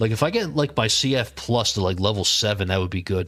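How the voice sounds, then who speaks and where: A Philadelphia accent with ordinary pitch variation, with music in the background. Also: man. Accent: Philadelphia accent, noticeable. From Philadelphia, Pennsylvania, US. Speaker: mobile game streamer. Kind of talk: live gameplay stream chat. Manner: casual, conversational.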